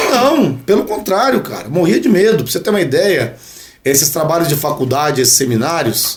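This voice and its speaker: Fairly high-pitched male speech at a fairly quick pace, with very wide pitch swings over noticeable background noise. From Brazil, São José dos Campos (São Paulo state). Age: 40s. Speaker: dentist and radio sports commentator. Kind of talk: casual podcast interview.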